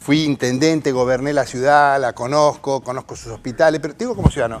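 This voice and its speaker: Music plays in the background. A man talks fairly quickly in a Rioplatense accent. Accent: Argentine Rioplatense Spanish. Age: 60s. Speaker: politician. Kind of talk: heated debate.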